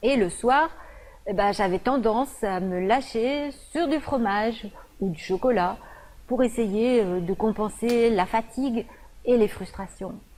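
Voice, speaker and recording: This woman's pitch is fairly high, and she speaks very slowly. Long, frequent pauses break up her speech. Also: ordinary pitch variation. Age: 50s. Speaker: nutritionist. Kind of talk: presentation video. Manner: hesitant, frequent fillers.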